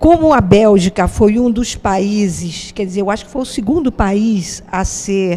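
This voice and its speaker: The woman's voice has a dark, mellow tone. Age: 70s. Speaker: interviewee. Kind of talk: interview.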